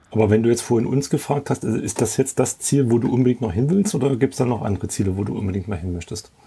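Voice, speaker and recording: A man talks at a very fast pace. His tone is dark and mellow, somewhat breathy. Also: medium pitch for a man, ordinary pitch variation, hardly any pauses. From Leipzig area, Saxony. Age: 40s. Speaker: camper. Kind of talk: casual chat.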